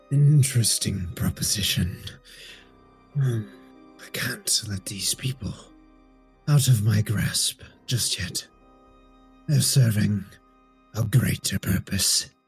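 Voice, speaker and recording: Putting on a character voice at medium pitch, a man speaks at a fairly slow pace with long, frequent pauses while faint music plays in the background. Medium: actual play. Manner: calm, condescending.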